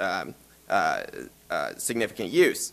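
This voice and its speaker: A man speaks with a Southern US accent. His voice has vocal fry. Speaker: law professor. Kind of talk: conference presentation.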